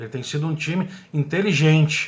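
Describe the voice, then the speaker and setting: A man speaks at a moderate pace with ordinary pitch variation and a somewhat breathy voice. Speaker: radio sports commentator. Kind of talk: radio sports commentary.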